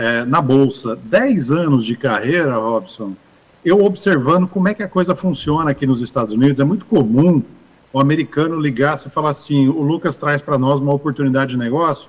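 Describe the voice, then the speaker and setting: An unremarkable speaking voice, moderate in pace, full of lively intonation. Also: man, fairly high pitch for a man. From Brazil, interior of São Paulo state (Ribeirão Preto). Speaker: investment fund manager. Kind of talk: interview at business summit.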